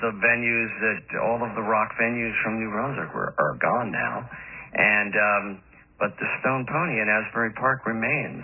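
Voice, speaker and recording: A man with an American accent talks in an ordinary speaking voice at a fairly slow pace, using ordinary pitch variation. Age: 60s. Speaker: rock musician and songwriter. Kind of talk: radio interview.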